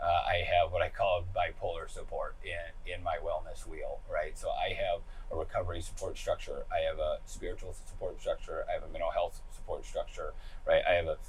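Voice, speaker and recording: A man's extremely high voice with ordinary pitch variation, a fairly quick pace, and noticeable background noise. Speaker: person in recovery from addiction. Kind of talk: interview answer. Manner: upbeat, lighthearted.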